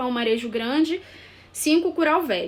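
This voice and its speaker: Her pitch moves in an ordinary way as this woman talks at a moderate pace. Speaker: architect / urban planner. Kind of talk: live stream presentation. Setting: live video stream. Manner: halting, with many fillers.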